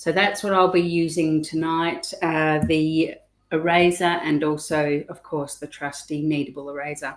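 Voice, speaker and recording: Fairly slow, fairly even speech with an Australian accent. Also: woman, very deep, low pitch for a woman. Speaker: art teacher. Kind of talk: tutorial. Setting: live stream on webcam. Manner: hesitant, many ums.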